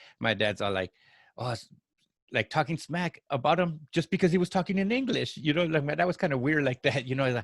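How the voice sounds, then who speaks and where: A man speaks at a fairly quick pace with a Spanish accent, a fairly high, somewhat breathy voice and very wide pitch swings, in a dry, close recording with no echo and a silent, very clean background. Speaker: podcast co-host. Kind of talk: casual chat. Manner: halting, many repeated words.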